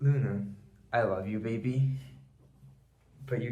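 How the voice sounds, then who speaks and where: Audible room echo follows a man talking at a moderate pace with ordinary pitch variation. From Brazil. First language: Portuguese. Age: 20s. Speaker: YouTuber. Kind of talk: rant. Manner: formal.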